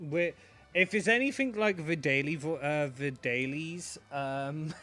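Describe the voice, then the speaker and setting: A man with a British accent speaks at a fairly slow pace, his pitch fairly high. His tone is bright and sharp, with ordinary pitch variation. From Britain. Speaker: esports commentator. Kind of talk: live commentary. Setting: voice call.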